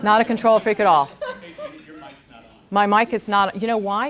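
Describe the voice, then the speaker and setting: A woman at a fairly high pitch and a moderate pace. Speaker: guest speaker, former teacher. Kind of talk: talk to an audience. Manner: loud.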